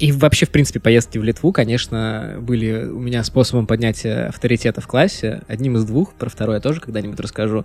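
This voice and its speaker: Very fast speech with ordinary pitch variation. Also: man, medium pitch for a man. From Russia, Pskov. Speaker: podcast co-host. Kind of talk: casual chat. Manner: theatrical.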